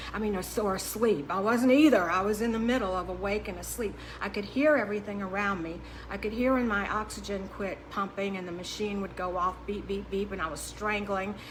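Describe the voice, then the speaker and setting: Amid noticeable background noise and audible room echo, a woman talks at a fairly quick pace and a medium pitch with ordinary pitch variation. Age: 60s. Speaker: diet coach. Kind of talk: podcast monologue. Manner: halting.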